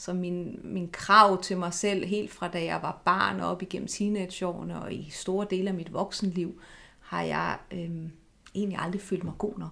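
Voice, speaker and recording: A woman's fairly low, monotone voice with vocal fry and flat intonation, at a fairly slow pace. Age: 40s. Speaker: eating disorder therapist. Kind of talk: interview.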